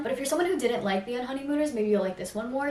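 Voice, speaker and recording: A woman talks with ordinary pitch variation. Audible room echo and noticeable background noise come through. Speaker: booktuber. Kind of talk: casual vlog chat. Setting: at home. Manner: fast.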